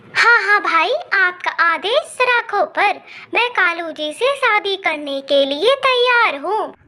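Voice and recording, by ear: This female-sounding voice is a cartoonish character voice pitched extremely high. It moves at a fairly slow pace.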